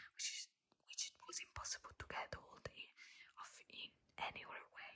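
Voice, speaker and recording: The speech is a whisper. It moves at a moderate pace. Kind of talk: ASMR book reading, soft-spoken. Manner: soft-spoken, whispering, repeating words.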